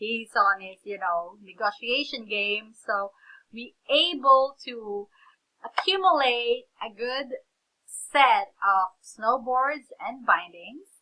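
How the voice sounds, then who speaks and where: Delivery comes at a very slow pace in a Filipino accent. The intonation is lively, and the loudness swings widely. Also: woman, fairly high pitch for a woman. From Philippines. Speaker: reseller, vlogger. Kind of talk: casual vlog storytelling. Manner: animated.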